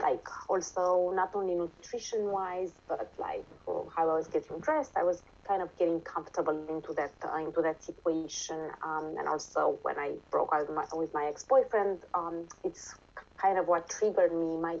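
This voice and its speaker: Speaking at a moderate pace, a woman talks with a Romanian accent. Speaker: interviewee sharing nutrition experience. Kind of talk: casual interview. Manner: halting, many fillers.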